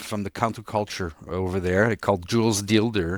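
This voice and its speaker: Recorded very cleanly against a silent background, a man speaks at fairly low pitch with fairly even intonation. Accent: French Canadian. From Quebec, Montreal. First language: French. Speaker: city nightlife commissioner. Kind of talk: interview conversation. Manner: halting, frequent repetitions and restarts.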